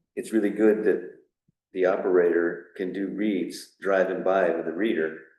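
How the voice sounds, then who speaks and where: A man's very deep, low voice at a moderate pace, monotone and flat, with audible room echo. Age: 60s. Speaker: water system operator. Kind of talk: town board meeting discussion. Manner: hesitant, with fillers.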